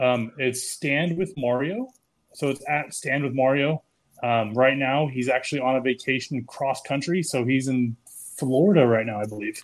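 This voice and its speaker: A man with a normal speaking voice, medium pitch and ordinary pitch variation at a moderate pace, on a very clean recording with a silent background. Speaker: beard club member. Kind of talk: casual chat.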